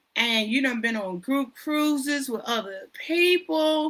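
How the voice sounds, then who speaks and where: A woman speaks very slowly in a bright, sharp tone. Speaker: livestream host, cruise YouTuber. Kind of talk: solo livestream chat. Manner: animated.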